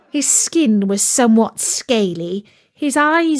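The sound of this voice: Lively intonation runs through the unforced reading voice.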